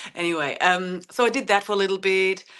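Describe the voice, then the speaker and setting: Against a quiet background, a woman with a German accent talks at a moderate pace in a bright, sharp tone. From Germany. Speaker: horse owner and author. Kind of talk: podcast interview. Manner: halting, many fillers.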